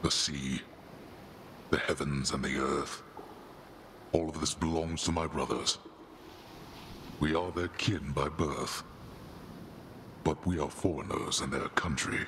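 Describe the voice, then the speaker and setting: A man puts on a character voice at a very deep, low pitch, with long, frequent pauses. Background noise is clearly audible. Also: fairly slow pace. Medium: video game. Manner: grave, imperious.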